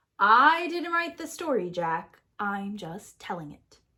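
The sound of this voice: A woman speaks slowly in a put-on character voice, her pitch at a medium level for a woman. Her tone is bright and sharp, with big swings in pitch.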